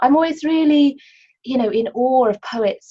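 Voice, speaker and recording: At a moderate pace, a woman speaks in a somewhat breathy voice with a dark, mellow tone. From Cornwall, England. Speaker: poet and novelist. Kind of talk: interview about her writing, with poetry readings. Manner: hesitant, many fillers.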